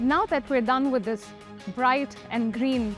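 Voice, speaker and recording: Over faint background music, a woman with a high voice talks at a moderate pace in a dry recording with no echo. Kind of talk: guided tour presentation. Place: factory.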